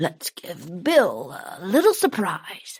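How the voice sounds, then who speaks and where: In a put-on character voice with a fairly high pitch, the speaker goes at a very slow pace. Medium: read story. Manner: leering, sly.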